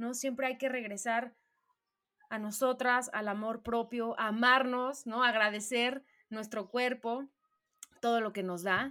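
Speaking at a fairly slow pace with long, frequent pauses, a woman with a Mexican accent keeps a fairly high pitch and fairly even intonation. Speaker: podcast co-host. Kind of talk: casual interview.

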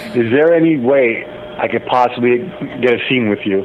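A man's medium-pitched voice shows ordinary pitch variation, with noticeable background noise behind it. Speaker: caller. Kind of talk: casual chat. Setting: phone call.

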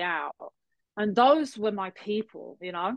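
This is a woman speaking with a London accent. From England. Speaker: health coach and spin instructor. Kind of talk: casual chat.

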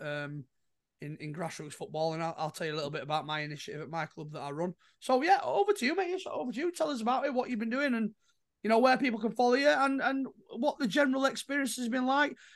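A very fast pace over a quiet background. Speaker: podcast host. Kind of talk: casual chat. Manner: chatty, joking.

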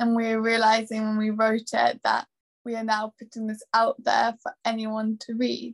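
A woman speaks at a moderate pace with a fairly high, somewhat breathy voice. Her intonation is monotone and flat, and the sound is dry and close with no echo. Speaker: baker and author. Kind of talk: casual interview.

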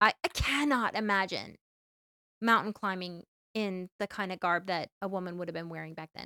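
Bright and sharp in tone, a woman speaks at a moderate pace and a medium pitch. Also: ordinary pitch variation, dry, close sound with no echo. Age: middle-aged. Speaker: podcast host, hiker. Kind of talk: casual chat.

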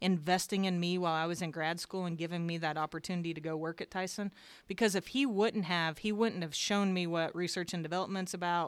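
Very fast, hardly any pauses, a woman with an American accent at a fairly low pitch and with fairly even intonation, in a very clean recording with a silent background. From southern Indiana, near Louisville. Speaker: show lamb breeder. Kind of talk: casual interview.

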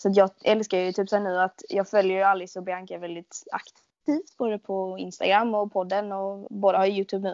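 A woman talks at a fairly quick pace and a medium pitch in a monotone, flat intonation. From Sweden, Skåne. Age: 20s. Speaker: podcast host, shop worker. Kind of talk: casual chat.

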